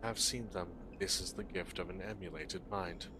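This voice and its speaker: Over loud background noise, a man uses a put-on character voice with a very deep, low pitch at a moderate pace. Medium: game stream. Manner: terse, cryptic, clipped.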